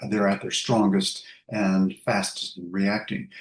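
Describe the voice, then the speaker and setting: A man talks at a moderate pace with a North American accent. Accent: North American accent, lingering. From US West Coast. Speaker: sleep researcher, professor. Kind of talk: interview. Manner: hesitant, many fillers.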